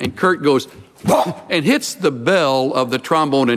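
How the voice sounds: Simply a natural reading voice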